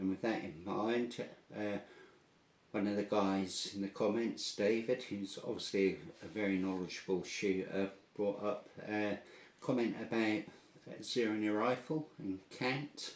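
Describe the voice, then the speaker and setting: A man with a strong Norfolk accent speaks at a fairly slow pace and fairly low pitch, with ordinary pitch variation. He leaves long, frequent pauses. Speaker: air gun tutorial video maker. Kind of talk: tutorial. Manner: casual, hesitant with fillers.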